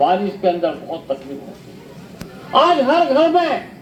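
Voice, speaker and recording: Noticeable background noise sits behind the speaker. A man talks at an extremely high pitch with very wide pitch swings. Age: 70s. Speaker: independent election candidate. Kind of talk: campaign speech.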